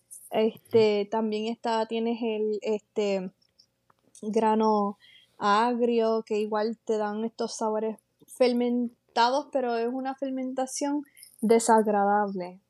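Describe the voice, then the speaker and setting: With a Puerto Rican accent, a woman talks at a very slow pace. Her fairly high pitch stays in a monotone, flat intonation. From western Puerto Rico (San Sebastián, Moca). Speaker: coffee educator. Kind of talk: interview. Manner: halting, many fillers.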